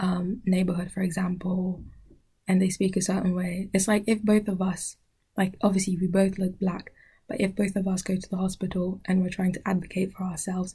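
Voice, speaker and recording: A woman talks at a fairly quick pace in a medium pitch, her voice somewhat breathy. Her tone is dark and mellow, with monotone, flat intonation. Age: 20s. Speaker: podcast host. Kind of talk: casual chat. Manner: halting, with frequent self-corrections.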